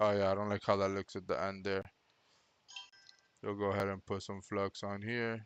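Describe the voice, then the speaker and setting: A man's fairly low, flat monotone with a non-native accent and long, frequent pauses. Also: moderate pace. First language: not English. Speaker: electronics repair technician. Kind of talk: live-streamed repair commentary. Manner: casual, thinking aloud.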